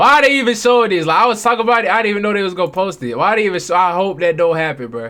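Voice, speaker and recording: A man projects his voice, raised and high in pitch. The tone is bright and sharp. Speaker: sports reaction streamer. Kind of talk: casual reaction commentary. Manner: halting, stumbling over words; animated.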